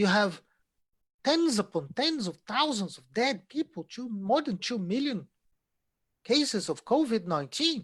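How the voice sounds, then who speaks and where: On a very clean recording with a silent background, a man with a Portuguese accent speaks with very wide pitch swings. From Brazil. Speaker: economics lecturer. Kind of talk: lecture.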